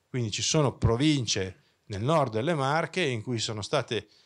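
A man talks with lively intonation at a fairly slow pace, the background quiet. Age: 50s. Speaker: engineering professor. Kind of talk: conference talk. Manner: hesitant, with many fillers. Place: hall. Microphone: handheld.

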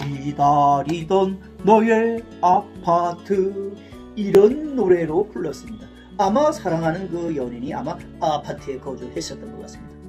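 Very slow speech with big swings in loudness over music in the background. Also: man. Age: 60s. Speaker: YouTuber. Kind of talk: casual talk to camera about music.

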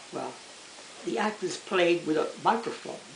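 A man speaks in a room with audible echo. Light background noise is present. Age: 80s+. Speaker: grandfather telling stories. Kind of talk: storytelling, recounting childhood memories. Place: home room. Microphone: camera far.

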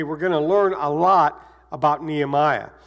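High-pitched male speech with ordinary pitch variation. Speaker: pastor. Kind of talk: sermon. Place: church.

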